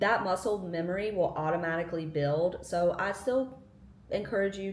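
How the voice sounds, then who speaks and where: Talking at a fairly quick pace, a woman uses a medium pitch with ordinary pitch variation, and audible room echo can be heard. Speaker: lifestyle vlogger. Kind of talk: casual tutorial.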